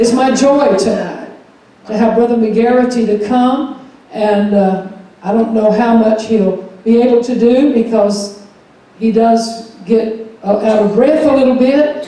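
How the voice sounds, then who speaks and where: A woman at a fairly slow pace, in strong room echo. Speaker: pastor. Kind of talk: church announcements. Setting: church. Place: church.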